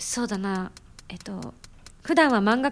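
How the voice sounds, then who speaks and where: A woman's lively intonation comes at a moderate pace. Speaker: radio host and singer. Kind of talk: casual radio chat.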